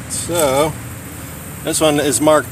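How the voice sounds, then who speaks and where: Noticeable background noise accompanies a man speaking at a fairly high pitch. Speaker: gun channel livestreamer. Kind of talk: casual live stream chat. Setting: outdoor shooting range. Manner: loud, talking over earplugs.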